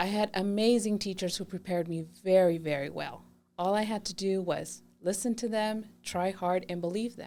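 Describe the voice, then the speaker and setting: Music plays in the background as a woman with a Spanish accent talks at a medium pitch. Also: moderate pace. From Mexico (Chihuahua), raised in San Diego area from age 8. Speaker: adult school assistant principal. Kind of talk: podcast interview. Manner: enthusiastic.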